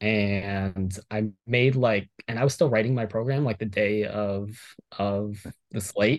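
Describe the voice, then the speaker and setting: A plain, everyday voice from a man with an American accent, fairly low in pitch and fairly slow in pace, on a very clean recording with a silent background. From Miami, Florida. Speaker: professional fantasy sports player. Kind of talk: casual interview. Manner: many fillers and restarts.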